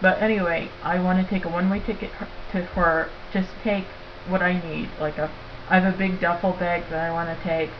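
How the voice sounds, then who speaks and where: Amid noticeable background noise and audible room echo, a woman speaks at a moderate pace in a flat monotone. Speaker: vlogger. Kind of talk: casual webcam monologue. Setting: laptop webcam recording. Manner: halting, many fillers.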